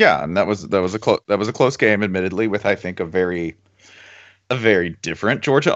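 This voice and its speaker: With an ordinary speaking voice, a man talks fairly quickly in a fairly low pitch. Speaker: podcast host. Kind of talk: casual sports banter podcast. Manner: sarcastic, joking.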